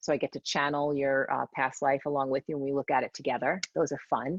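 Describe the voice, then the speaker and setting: A woman's very deep, low voice in a New York accent at a fairly quick pace, dry and close with no echo over a quiet background. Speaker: psychic medium. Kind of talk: casual interview chat. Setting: live session with audience. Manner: animated.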